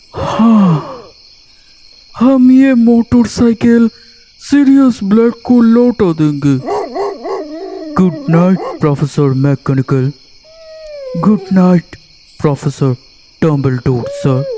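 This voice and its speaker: A put-on character voice sits at middle pitch with very wide pitch swings. It moves at a very slow pace. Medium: read story. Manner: respectful, simple.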